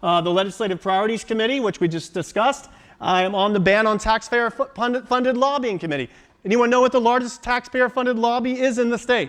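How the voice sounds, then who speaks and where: A man talks at a very fast pace with an American accent. His pitch varies in an ordinary way. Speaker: state party committee member. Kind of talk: political speech.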